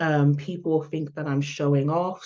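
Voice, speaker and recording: Against a quiet background, a woman with a London accent speaks in a very deep, low voice with a dark, mellow tone. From London, England. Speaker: public relations expert, speaker. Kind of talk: online summit talk. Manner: hesitant, many fillers.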